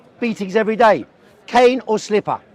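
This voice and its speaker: A man with a London accent speaks at a moderate pace in a high pitch. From South London, England. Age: 60s. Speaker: communist debater. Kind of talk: heated debate.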